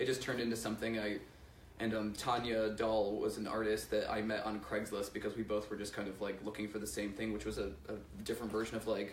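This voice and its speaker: Delivered at a very fast pace, the speech is monotone and flat, with audible room echo. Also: man, fairly low pitch for a man. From US Northeast, Pittsfield, western Massachusetts. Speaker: musician. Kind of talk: interview.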